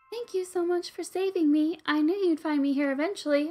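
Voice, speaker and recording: A put-on character voice at an extremely high pitch moves at a fairly quick pace over music in the background. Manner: grateful.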